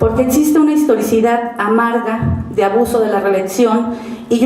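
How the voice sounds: With audible room echo, a woman speaks at a moderate pace in a fairly high pitch and a dark, mellow tone.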